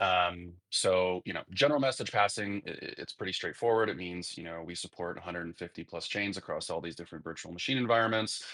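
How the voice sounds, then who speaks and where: In an American accent, a man with a very deep, low pitch and a bright, sharp tone talks at a very fast pace with hardly any pauses, ordinary pitch variation and big swings in loudness. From United States. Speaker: crypto company ecosystem lead. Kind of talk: live audio interview. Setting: online audio space.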